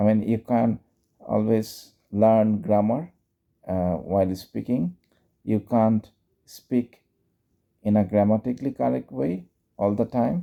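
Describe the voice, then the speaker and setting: A man with a Bengali accent speaks in a fairly low, dark, mellow tone with lively intonation and long, frequent pauses. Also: fairly slow pace. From Bangladesh. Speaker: English teacher and YouTuber. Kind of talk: casual instructional talk. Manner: unscripted, conversational.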